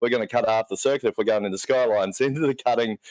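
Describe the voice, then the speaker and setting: This man's speech goes by at a very fast pace. His accent is Australian. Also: dry, close sound with no echo, very clean recording, silent background. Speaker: co-commentator. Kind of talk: live commentary.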